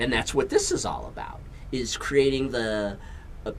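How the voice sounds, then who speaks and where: A man speaks with an American accent at a moderate pace. Audible room echo is present. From USA. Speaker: talk show host. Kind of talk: casual interview chat. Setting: studio.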